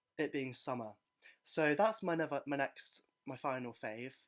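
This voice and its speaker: The recording is very clean with a silent background. A man with an English accent and a fairly high pitch speaks at a moderate pace with ordinary pitch variation. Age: 20s. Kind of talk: casual podcast talk.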